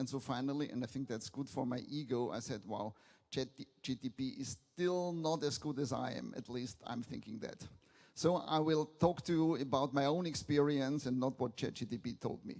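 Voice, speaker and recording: In a Viennese accent, a man speaks at a medium pitch. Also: ordinary pitch variation, moderate pace. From Austria, Vienna. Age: 70s. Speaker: business angel, keynote speaker. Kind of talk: conference keynote.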